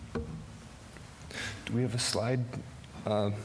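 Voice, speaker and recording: A man speaks with an American accent. Audible room echo can be heard. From US Midwest, Wisconsin. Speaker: entrepreneur, marine electrician. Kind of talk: business pitch.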